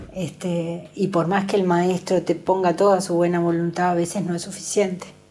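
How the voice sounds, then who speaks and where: A woman with a fairly low pitch speaks at a moderate pace in a monotone, flat delivery. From Uruguay, Pando (Canelones). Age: 60s. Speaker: special education center worker. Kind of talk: interview.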